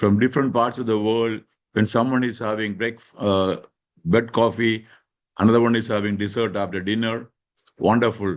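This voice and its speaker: In an unremarkable speaking voice, a man talks at a moderate pace. His pitch is medium and his intonation fairly even. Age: 60s. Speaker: leadership panelist. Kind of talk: panel discussion.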